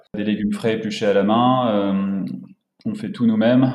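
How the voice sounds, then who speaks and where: A man speaks at a fairly slow pace with a fairly low pitch. There is audible echo from the room. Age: 20s. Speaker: entrepreneur. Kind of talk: casual interview.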